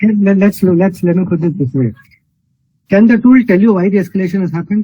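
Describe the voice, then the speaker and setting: A man talks at a very fast pace. His voice is high-pitched, with ordinary pitch variation. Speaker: hackathon jury member. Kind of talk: pitch feedback critique. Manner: firm, probing; too quiet at first.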